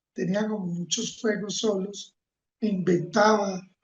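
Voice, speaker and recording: The man's high voice carries ordinary pitch variation. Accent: Colombian. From Colombia, Manizales (paisa region). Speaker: environmental leader and engineer. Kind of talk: interview.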